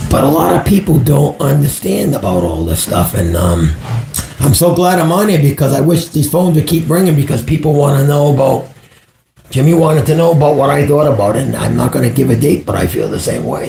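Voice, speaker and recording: A man speaks very fast at a fairly high pitch, his pitch swinging very widely. Background noise is noticeable. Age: 60s. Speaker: psychic medium. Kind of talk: live stream call-in chat.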